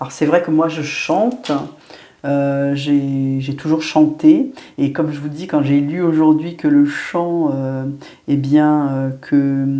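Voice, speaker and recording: In a room with audible echo, a woman speaks very slowly in a very deep, low pitch with a dark, mellow tone and fairly even intonation. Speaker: medium and spiritual guide. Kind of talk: spiritual guidance monologue. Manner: hesitant, many fillers.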